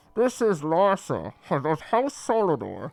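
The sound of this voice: A man's put-on character voice, high-pitched with lively intonation, at a fairly slow pace.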